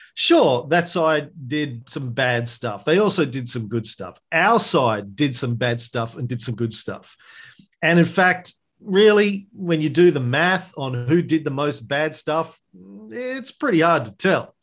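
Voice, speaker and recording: Over a quiet background, a man with an Australian accent speaks at a fairly high pitch and a fairly slow pace, his intonation lively. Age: 50s. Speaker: history podcaster. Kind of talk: interview conversation.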